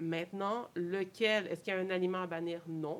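Speaking at a fairly quick pace with a Quebec accent, this voice keeps a fairly even intonation. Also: woman. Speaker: nutritionist. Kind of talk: casual interview.

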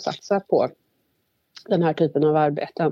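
At a moderate pace, a woman speaks with a dark, mellow tone in a dry, close recording with no echo. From Värmland, Sweden. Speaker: government agency manager. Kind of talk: interview. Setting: phone call.

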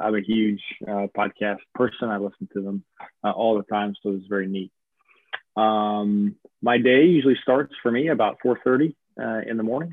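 A man with a slight Southern US accent and a fairly low pitch. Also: ordinary pitch variation, moderate pace. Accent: slight Southern twang. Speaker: army officer. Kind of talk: casual interview. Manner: formal.

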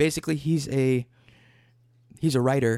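In a dry, close recording with no echo, a man with a dark, mellow tone and a fairly high pitch talks at a fairly quick pace with ordinary pitch variation. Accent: Midwestern American. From Michigan, near Detroit. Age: 20s. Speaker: musician. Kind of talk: casual chat.

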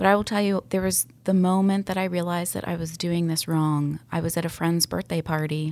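A woman speaks at a fairly quick pace with an American accent. The recording is very clean, with a silent background. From US South, Atlanta area (Sandy Springs). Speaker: real estate agent. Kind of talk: interview. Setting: studio.

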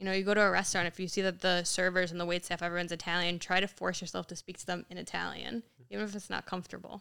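A woman's very fast, fairly low voice with an American accent, bright and sharp in tone, with vocal fry, flat monotone intonation and hardly any pauses. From Yonkers, New York. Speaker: freelance artist and influencer. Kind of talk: casual chat.

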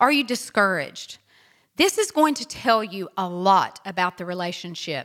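A woman with a medium pitch speaks at a fairly slow pace, her intonation lively and her tone both bright, sharp and warm. The recording is very clean, with a silent background. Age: 50s. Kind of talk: solo inspirational podcast talk. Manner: warm, encouraging.

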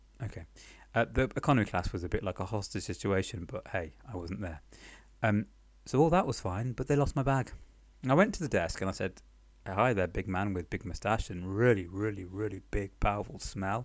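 A man with a British accent and a fairly low pitch speaks at a fairly quick pace with ordinary pitch variation, in a very clean recording with a silent background. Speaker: podcast storyteller. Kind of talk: casual personal storytelling. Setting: temporary apartment in Paris, recorded on the move, ambient noise. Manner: halting, many pauses and fillers; wry, self-deprecating, humorous.

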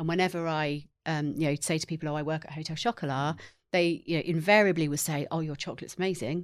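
A woman talks at a very fast pace with an English accent. Her pitch is very deep and low. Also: very clean recording, silent background. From England. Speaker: marketing executive. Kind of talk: interview.

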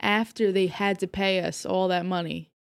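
A woman speaks at a moderate pace in a flat, monotone delivery, recorded very cleanly against a silent background. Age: 30s. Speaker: podcast co-host. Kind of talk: casual chat.

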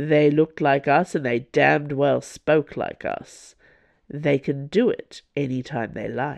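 Raspy and drawling, a put-on character voice unfolds at a fairly slow pace in a low-to-middle pitch. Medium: read story. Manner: dry, drawling, sardonic.

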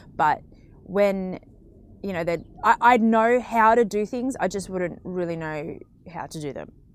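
Here is a woman with a plain, everyday voice and a medium pitch. She keeps a moderate pace and ordinary pitch variation. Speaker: podcast co-host. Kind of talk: casual chat. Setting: studio.

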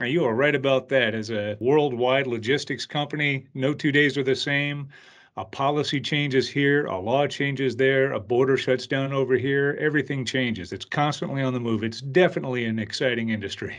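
With an ordinary speaking voice, a man talks at a fairly quick pace in a medium pitch with ordinary pitch variation. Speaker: podcast host. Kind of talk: casual interview.

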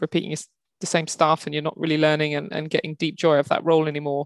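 Speaking very fast, a woman with a southern English accent uses a fairly low pitch. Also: dry, close sound with no echo, quiet background. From England, Kent. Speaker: HR executive. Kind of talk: interview conversation.

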